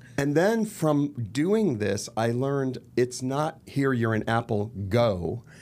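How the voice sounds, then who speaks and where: A man with an American accent speaks at a medium pitch. His pace is very slow, yet he leaves hardly any pauses. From Los Angeles, US. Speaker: actor and murder mystery entrepreneur. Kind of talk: podcast interview.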